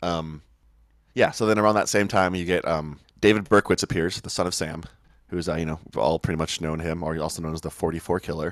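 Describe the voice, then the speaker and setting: Very fast speech from a man with a very deep, low pitch, fairly even intonation and an American accent, on a very clean recording with a silent background. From Oak Park, next to Chicago. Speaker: DJ and TV/film worker. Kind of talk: casual chat, storytelling.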